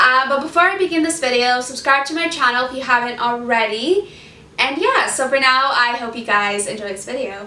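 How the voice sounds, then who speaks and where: A woman uses a raised, projected voice with a high pitch and lively intonation at a fairly quick pace. Noticeable background noise runs underneath. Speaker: vlogger sharing life with multiple sclerosis. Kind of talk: casual vlog talk to camera. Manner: fast; animated.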